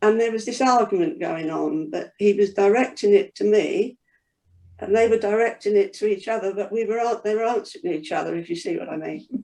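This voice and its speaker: Speaking at a fairly quick pace, a woman uses lively intonation. Her tone is dark and mellow. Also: fairly high pitch for a woman. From East London. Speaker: church member. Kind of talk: casual chat. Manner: halting.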